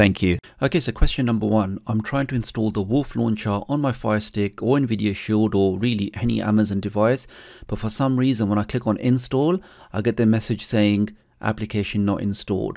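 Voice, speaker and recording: A man with a plain, everyday voice speaks in a fairly low pitch at a fairly quick pace. The background is quiet. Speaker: tech youtuber. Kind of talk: tutorial. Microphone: studio mic.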